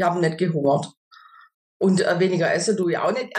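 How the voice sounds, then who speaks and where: A woman speaks with a fairly low pitch. Her voice is somewhat breathy. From southwest Germany, near Stuttgart. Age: 50s. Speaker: customer testimonial, supermarket cashier. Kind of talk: interview testimony. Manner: hesitant, many filler sounds.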